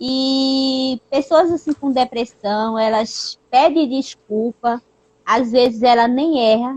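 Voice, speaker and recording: The woman speaks at a very slow pace with a high pitch and fairly even intonation. The sound is dry and close, with no echo. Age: 20s. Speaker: youtuber sharing her depression story. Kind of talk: personal testimony in casual chat. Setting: live stream. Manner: halting, many fillers.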